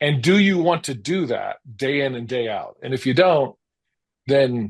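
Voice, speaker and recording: With an American accent, a man speaks at a medium pitch and moderate pace, with ordinary pitch variation against a quiet background. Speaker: founder of a creative agency. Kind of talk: interview. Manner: hesitant, many fillers.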